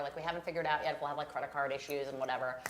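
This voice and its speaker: Over noticeable background noise, a woman talks with a slight Long Island accent. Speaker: co-host. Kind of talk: live show chat.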